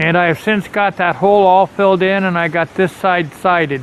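The voice moves at a moderate pace. Light background noise can be heard. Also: dry sound with no echo. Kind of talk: casual vlog chat. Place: open country. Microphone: phone near.

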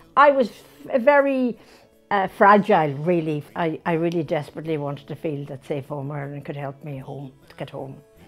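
A woman speaks in a very deep, low voice, her loudness swinging widely, with faint music playing behind her. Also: moderate pace. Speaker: interviewee. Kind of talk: interview answer. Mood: emotional, grateful. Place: home room. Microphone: lapel.

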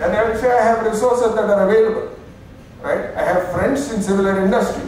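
Light background noise and strong room echo surround a man speaking with an Indian accent. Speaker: keynote speaker and business consultant. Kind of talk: conference talk. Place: hall.

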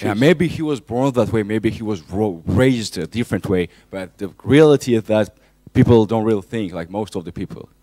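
With a dark, mellow tone and a fairly low pitch, a man speaks at a moderate pace, the sound dry with no echo over a quiet background. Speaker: audience member asking a question at a university lecture. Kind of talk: audience question at a public lecture. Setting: lecture hall. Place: classroom.

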